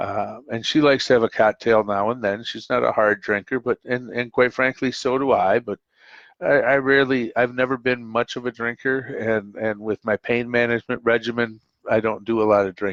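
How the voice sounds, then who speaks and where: Speaking at a moderate pace, a man of medium pitch keeps his intonation fairly even, the sound dry and close with no echo over a quiet background. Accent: Upper Midwest. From US Midwest, Minnesota (Twin Cities). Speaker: call-in show host. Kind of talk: casual monologue on live call-in show. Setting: live stream call-in show. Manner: halting, many fillers.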